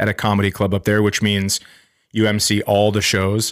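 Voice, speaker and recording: In a very clean recording with a silent background, a man with an American accent and an ordinary speaking voice speaks at a fairly low pitch. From Minnesota (Fergus Falls area). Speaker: stand-up comedian. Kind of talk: casual chat.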